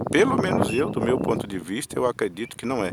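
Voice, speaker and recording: A man speaks over noticeable background noise. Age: 60s. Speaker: vlogger sharing opinions. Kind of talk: personal monologue vlog. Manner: halting, with filler words.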